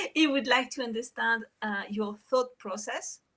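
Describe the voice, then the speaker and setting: Talking at a fairly slow pace with ordinary pitch variation, a woman has a bright, sharp tone and a French accent. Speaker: meetup organizer. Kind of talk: moderating Q&A.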